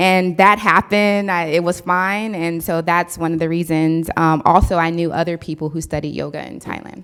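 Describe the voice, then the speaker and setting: Speaking at a moderate pace with an American accent, a woman keeps a monotone, flat intonation and hardly any pauses. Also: fairly low pitch for a woman. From US West Coast (San Diego). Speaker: entrepreneur, keynote speaker. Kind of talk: audience Q&A.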